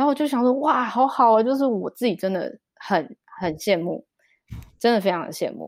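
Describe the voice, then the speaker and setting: The sound is dry and close, with no echo. The speaker moves at a moderate pace with lively intonation. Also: woman, fairly high pitch for a woman. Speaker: children's storyteller and mother. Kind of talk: interview conversation.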